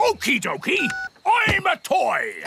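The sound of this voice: A man performs a cartoonish character voice over loud music in the background.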